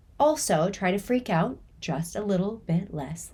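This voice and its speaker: In a very clean recording with a silent background, a woman speaks with a dark, mellow, somewhat breathy tone at a medium pitch. Her pace is fairly slow and her intonation lively. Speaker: chronic pain coach. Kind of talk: podcast talk.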